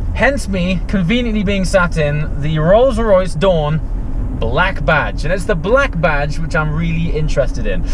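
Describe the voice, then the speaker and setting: Fairly slow speech with a dry sound and no echo, amid noticeable background noise. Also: man. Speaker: car reviewer. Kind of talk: casual vlog chat. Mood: relaxed, amused.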